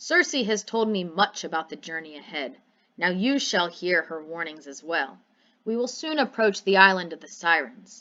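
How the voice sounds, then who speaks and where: In a put-on character voice, a woman of medium pitch speaks at a moderate pace with very wide pitch swings. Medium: read story. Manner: commanding, solemn.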